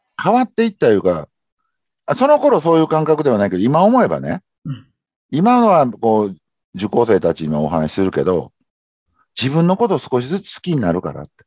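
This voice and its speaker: A man with a Kansai accent at a fairly quick pace, broken by long, frequent pauses. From Japan, Kobe (Kansai). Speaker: habit-formation consultant. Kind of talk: interview conversation.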